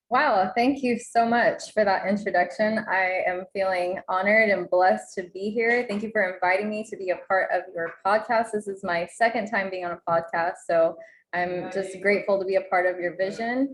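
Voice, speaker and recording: Speaking with an American accent in an ordinary speaking voice, a woman keeps a moderate pace, medium pitch and fairly even intonation with hardly any pauses. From Oklahoma Panhandle, US. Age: 20s. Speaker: entrepreneur and mother. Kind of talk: podcast interview.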